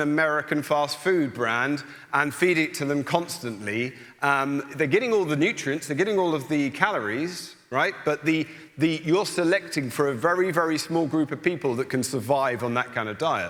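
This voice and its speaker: This man has an English accent. His voice sits at a fairly high pitch. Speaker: soil scientist. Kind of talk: panel discussion. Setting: stage with audience.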